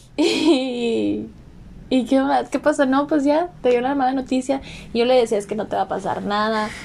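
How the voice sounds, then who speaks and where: A woman with a high voice and a Mexican accent, ordinary pitch variation and a moderate pace. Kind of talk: casual chat.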